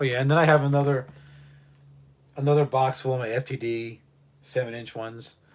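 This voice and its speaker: A man with a medium-pitched voice talks fairly quickly in a flat monotone, stopping often for long pauses. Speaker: live streamer and record collector. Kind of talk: casual livestream chat.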